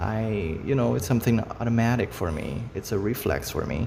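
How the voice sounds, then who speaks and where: There is noticeable background noise as a man with a Brazilian Portuguese accent speaks at a moderate pace and a fairly low pitch. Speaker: face reading hobbyist, video creator. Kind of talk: casual monologue to camera. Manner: halting, with fillers.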